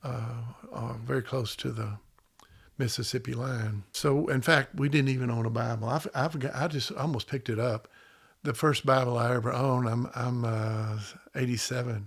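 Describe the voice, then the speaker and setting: The voice is somewhat breathy, in a Southern US accent, at a moderate pace with fairly even intonation. The recording is very clean, with a silent background. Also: man, medium pitch for a man. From US South, Memphis, Tennessee. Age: 70s. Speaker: podcast guest. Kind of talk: casual chat. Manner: halting.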